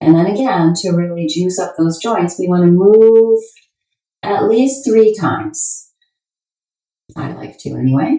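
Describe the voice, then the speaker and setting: A woman with a medium pitch speaks at a fairly slow pace in a calm, somewhat breathy tone, with long, frequent pauses. Her pitch swings very widely and her loudness varies a lot. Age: 60s. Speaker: yoga teacher. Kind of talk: guided yoga practice instruction. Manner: calm, paced with the breath.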